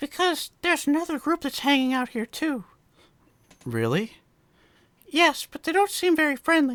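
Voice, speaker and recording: A man's put-on character voice, extremely high in pitch, broken by long, frequent pauses. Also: moderate pace. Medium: read story.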